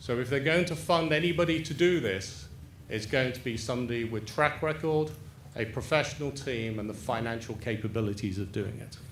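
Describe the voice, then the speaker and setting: A man with an English accent, medium pitch, somewhat breathy, at a fairly quick pace with lively intonation and audible room echo. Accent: English, still noticeable. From England. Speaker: property developer. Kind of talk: public presentation.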